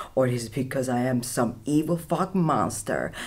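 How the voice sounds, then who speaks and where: Very deep, low female voice, somewhat breathy, with lively intonation and a fairly slow pace. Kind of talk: comedic monologue to camera. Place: studio.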